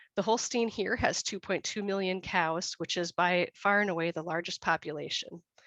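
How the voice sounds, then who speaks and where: A woman speaks in a normal speaking voice at medium pitch and a moderate pace, with an American accent, ordinary pitch variation, and a dry, close sound with no echo against a quiet background. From USA. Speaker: dairy breeding consultant. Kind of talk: webinar presentation. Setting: online webinar.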